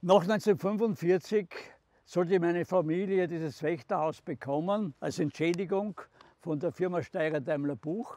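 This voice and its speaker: A man with a Styrian accent, high pitch and a dark, mellow tone at a fairly slow pace, in a dry sound with no echo. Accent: Styrian Austrian German. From southern Styria, Austria. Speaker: contemporary witness, former mayor. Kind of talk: documentary guided narration. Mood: calm, serious recollection. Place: open country.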